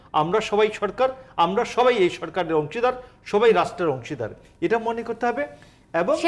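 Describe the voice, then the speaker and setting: A man with a high pitch speaks using lively intonation. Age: 60s. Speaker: law professor and political commentator. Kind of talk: TV talk show debate.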